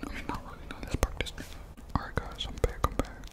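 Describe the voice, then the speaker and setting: A whispering man in a relaxed tone. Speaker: ASMR creator. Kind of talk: casual talk to camera. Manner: relaxed, chatty, whispered. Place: home room. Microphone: studio mic.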